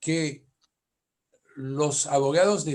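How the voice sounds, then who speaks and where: With a French accent, this man talks at a fairly high pitch for a man. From France. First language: French (speaking Spanish). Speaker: family lawyer, conference speaker. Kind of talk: conference lecture.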